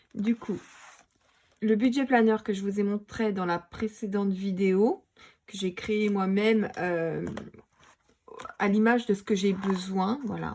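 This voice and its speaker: Speaking very slowly with long, frequent pauses, a woman uses a medium pitch and fairly even intonation. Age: 30s. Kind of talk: casual talk to camera. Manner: hesitant, many fillers.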